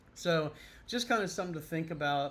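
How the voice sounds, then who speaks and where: With audible room echo around him, a man with an American accent speaks with ordinary pitch variation. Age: 60s. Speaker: YouTuber on retirement and moving abroad. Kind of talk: casual vlog monologue. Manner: casual with frequent fillers.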